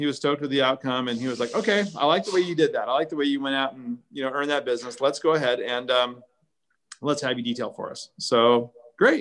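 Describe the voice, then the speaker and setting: A man with a fairly high voice talks very fast, his pitch varying in an ordinary way. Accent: American. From Southern California (Orange County). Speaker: car care brand founder. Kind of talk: interview. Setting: live stream. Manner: animated.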